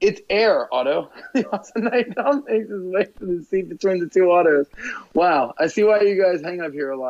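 Intonation is lively throughout this reading aloud in a natural voice.

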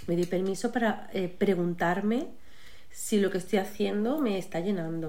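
With audible room echo, a woman speaks at a moderate pace in a dark, mellow tone, her medium pitch showing ordinary variation. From Málaga, Andalusia, Spain. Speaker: psychologist and coach, author. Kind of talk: casual interview chat.

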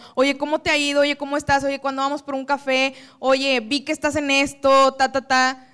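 This woman's high voice has a bright, sharp tone. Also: moderate pace. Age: 20s. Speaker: public relations professional. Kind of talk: talk to a live audience. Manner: animated.

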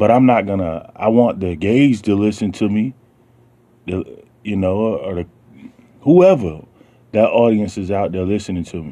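With a Southern US accent, a man speaks in a dark, mellow tone at a moderate pace, leaving long, frequent pauses. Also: fairly low pitch for a man, ordinary pitch variation. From US South. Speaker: radio show host. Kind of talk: casual monologue. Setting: basement home studio.

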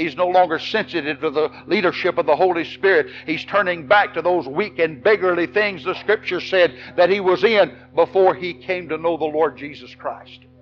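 Noticeable background noise sits behind a man speaking with hardly any pauses. He has a high voice, an American accent and ordinary pitch variation. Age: 60s. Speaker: Baptist pastor. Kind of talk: fiery revival-style Baptist sermon to an evening congregation. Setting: church service with congregation. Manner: impassioned, rhythmic preaching punctuated with Amen and repeated words; emphatic and animated, with stammered restarts and laughs.

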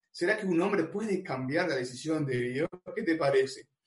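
With an Argentine accent, a man talks at a fairly quick pace and ordinary pitch variation. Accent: Rioplatense Argentine Spanish. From Argentina, Buenos Aires. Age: 40s. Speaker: youth preacher. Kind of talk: sermon.

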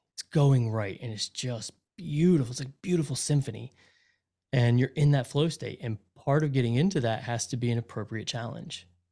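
Somewhat breathy and dark, mellow in tone, a man speaks at a moderate pace in a medium pitch with ordinary pitch variation. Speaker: podcast producer and former lawyer. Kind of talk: casual unscripted interview. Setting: recorded remotely with good mic. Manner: chatty, animated.

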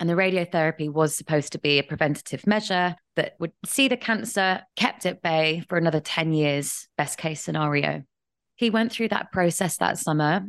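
A woman with an English accent talks at a very deep, low pitch and a moderate pace, with ordinary pitch variation and very even loudness. The sound is dry and close with no echo, and the background is quiet. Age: 30s. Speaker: writer and grief advocate. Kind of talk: interview testimony.

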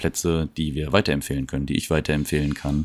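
A man's very deep, low voice in a monotone, flat delivery over noticeable background noise. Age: 30s. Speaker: podcast host. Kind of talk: casual monologue. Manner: hesitant, many fillers.

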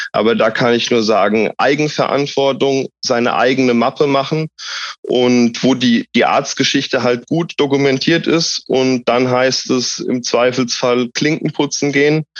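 In a normal speaking voice of medium pitch, a man talks at a fairly slow pace, his intonation fairly even and his loudness very even. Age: 30s. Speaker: patient, social work student. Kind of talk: interview.

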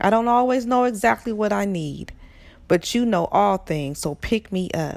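A woman speaks at a medium pitch and a moderate pace with lively intonation. It is an ordinary speaking voice. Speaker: prayer guide leader. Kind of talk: fervent prayer, then spoken coaching instructions. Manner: earnest, pleading, reverent; encouraging, instructive.

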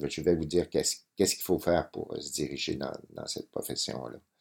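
On a very clean recording with a silent background, a man speaks at a very deep, low pitch in a dark, mellow tone with vocal fry. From Quebec, Lac-Saint-Jean. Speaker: photographer. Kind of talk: interview. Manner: hesitant, many fillers and repetitions.

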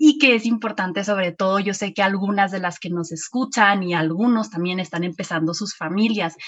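Her pitch is medium and the variation is ordinary as this woman speaks. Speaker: podcast host. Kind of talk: casual interview.

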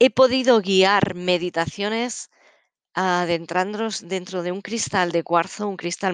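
Speaking very slowly at medium pitch with ordinary pitch variation, a woman is recorded dry and close with no echo over a quiet background. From Catalonia, Spain. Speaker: psychologist and therapist podcast host. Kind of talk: casual solo podcast talk. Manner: halting.

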